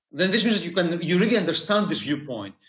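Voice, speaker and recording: The speaker has a Greek accent. Audible room echo is present. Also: man. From Greece. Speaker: university lecturer. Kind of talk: interview. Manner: halting.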